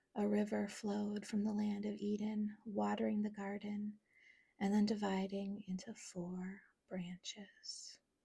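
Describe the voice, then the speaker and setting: The voice is soft-spoken, with a gentle, soothing tone. It moves at a fairly slow pace. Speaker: ASMR creator. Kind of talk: soft-spoken Bible reading for sleep. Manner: soft-spoken, gentle, soothing.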